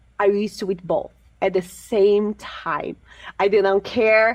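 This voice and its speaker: A woman with a Portuguese accent speaks at medium pitch. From Brazil. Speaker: fitness coach. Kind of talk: interview.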